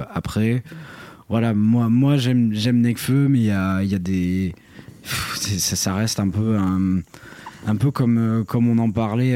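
A man's fairly low voice at a fairly slow pace and fairly even intonation, over noticeable background noise. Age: 20s. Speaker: podcast co-host. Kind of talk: casual chat. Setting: hotel room.

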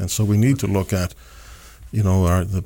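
Very deep and low in pitch, a man with a Canadian Maritime accent has a dark, mellow tone and fairly even intonation. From Nova Scotia, Canada (Dartmouth). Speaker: city mayor. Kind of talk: interview.

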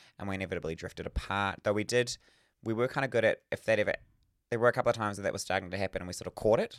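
A man with a New Zealand accent at a fairly low pitch and a very fast pace, on a very clean recording with a silent background and a dry, close sound with no echo. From New Zealand, Northland. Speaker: podcast co-host. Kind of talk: casual chat. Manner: animated.

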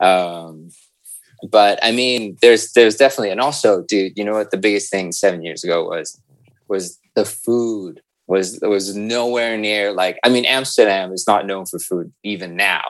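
At a moderate pace, a man with an American accent talks in a fairly low pitch with ordinary pitch variation. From US West Coast, San Francisco Bay Area. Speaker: creative director in advertising. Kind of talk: casual podcast interview. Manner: thoughtful, considered.

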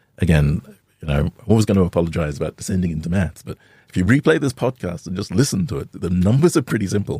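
A man's very deep, low voice with a dark, mellow tone, somewhat breathy, at a very fast pace, dry and close with no echo. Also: lively intonation. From Australia. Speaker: fintech founder. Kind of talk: interview.

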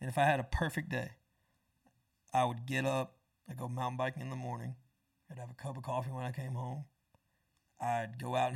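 Speaking at a fairly quick pace, a man with a medium pitch uses fairly even intonation and some vocal fry. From Florida, US South (Tampa, Panama City). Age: 20s. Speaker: songwriter and musician. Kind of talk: casual interview chat.

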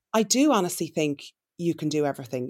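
This is a woman speaking with an Irish accent. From Ireland. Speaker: entrepreneur and influencer. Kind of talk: interview.

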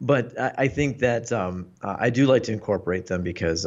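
With a Mid-Atlantic accent, a man speaks at a moderate pace and with ordinary pitch variation. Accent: American, Mid-Atlantic. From US, Northern Virginia (Washington D.C. area). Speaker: Paralympic fencer and tech writer. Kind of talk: casual chat.

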